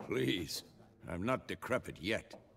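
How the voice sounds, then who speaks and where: A raspy, very deep, low put-on character voice from a man. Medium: video game.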